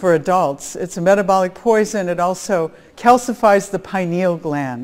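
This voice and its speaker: A woman's medium-pitched voice in an American accent with ordinary pitch variation, a plain, everyday voice. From US Midwest, Chicago area. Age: 60s. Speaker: biophysicist, conference speaker. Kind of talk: conference talk.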